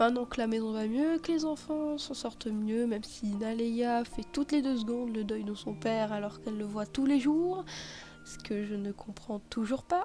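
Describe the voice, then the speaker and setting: Ordinary pitch variation marks this woman's fairly high-pitched delivery. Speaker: gaming YouTuber. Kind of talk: game commentary recap. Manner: slow; hesitant, many fillers.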